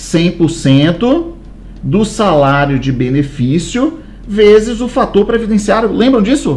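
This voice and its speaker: A man with very wide pitch swings, amid audible room echo and noticeable background noise. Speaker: law course teacher. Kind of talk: lecture. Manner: animated.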